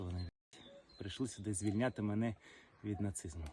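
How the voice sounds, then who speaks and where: A man's fairly low, somewhat breathy voice with a dark, mellow tone, fairly even intonation and a fairly quick pace. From Crimea, Sevastopol. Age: 30s. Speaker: soldier. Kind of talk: interview. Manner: halting.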